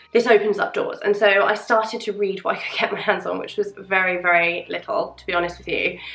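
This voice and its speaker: With a British accent, a woman speaks at a fairly quick pace with hardly any pauses over noticeable background noise. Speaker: tarot and witchcraft video creator. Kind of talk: casual chat. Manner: rambling, unprepared.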